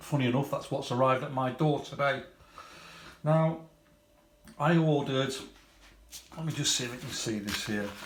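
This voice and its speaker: A man with a British accent speaks at a fairly high pitch and a moderate pace, with fairly even intonation, long, frequent pauses and audible room echo. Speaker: scale model hobbyist YouTuber. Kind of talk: product unboxing review. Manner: halting, repeats words.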